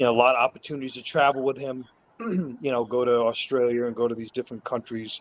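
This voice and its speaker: Against noticeable background noise, a man talks at a very fast pace and medium pitch with fairly even intonation. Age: 60s. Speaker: martial arts instructor. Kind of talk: casual chat. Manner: halting.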